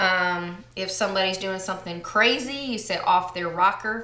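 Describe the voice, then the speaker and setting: A woman at medium pitch speaks with audible room echo. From Texas. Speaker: beauty vlogger. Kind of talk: casual vlog chat. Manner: relaxed, many fillers.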